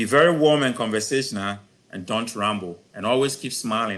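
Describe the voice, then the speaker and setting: An ordinary speaking voice, with ordinary pitch variation, talks at a moderate pace over a quiet background. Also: man. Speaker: professor giving a career talk. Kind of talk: lecture.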